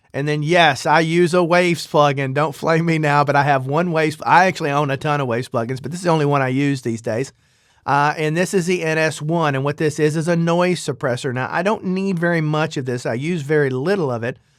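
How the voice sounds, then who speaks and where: Fairly high in pitch, a man with an American accent speaks at a fairly quick pace with fairly even intonation. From US South. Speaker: audio production youtuber. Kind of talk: tutorial. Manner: casual, hesitant with fillers. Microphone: processed studio voice chain with de-esser and limiter.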